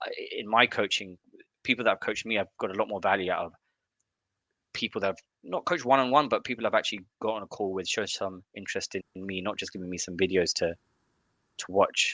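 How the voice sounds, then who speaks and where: A man with an English accent talks very fast in a fairly low, bright, sharp voice, broken by long, frequent pauses, recorded dry and close with no echo against a quiet background. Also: ordinary pitch variation. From UK, Indian family. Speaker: growth marketer. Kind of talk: interview conversation. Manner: halting, many restarts.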